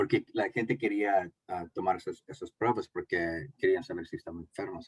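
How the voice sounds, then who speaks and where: At a moderate pace, a man with an English accent speaks in a dry, close sound with no echo. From United States (born in Mexico). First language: English (speaking Spanish). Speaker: community health speaker. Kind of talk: panel presentation. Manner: halting, many fillers.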